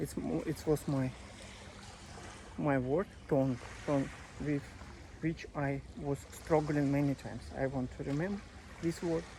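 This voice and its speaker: The speaker has a non-native accent. Long pauses come often. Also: moderate pace. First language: not English. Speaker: English learner vlogger. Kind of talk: casual monologue. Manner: halting, many fillers.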